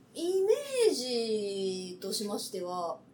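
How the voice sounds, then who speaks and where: Noticeable background noise accompanies a voice with ordinary pitch variation. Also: woman. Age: young. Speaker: TikToker. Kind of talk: reading aloud; casual chat. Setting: on location. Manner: fast.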